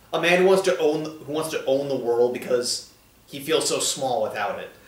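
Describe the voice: Strong room echo surrounds the speaker. He is a man with lively intonation. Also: medium pitch for a man, moderate pace.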